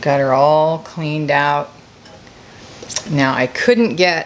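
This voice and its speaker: There is noticeable background noise as a woman speaks at a very deep, low pitch. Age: 60s. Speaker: homesteading youtuber. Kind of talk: tutorial. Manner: casual, halting.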